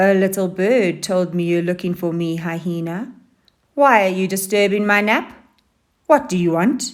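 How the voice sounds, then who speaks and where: In a put-on character voice, a female-sounding speaker growls at a medium pitch and a moderate pace, with long, frequent pauses, in a very clean recording with a silent background. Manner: annoyed, sleepy, irritable.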